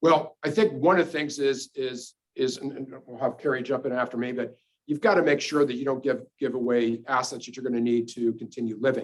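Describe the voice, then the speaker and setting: Loudness swings widely as a man talks at a fairly quick pace, his medium pitch varying in an ordinary way. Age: 60s. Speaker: financial advisor. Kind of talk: webinar presentation; answering audience question. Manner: halting, many repetitions.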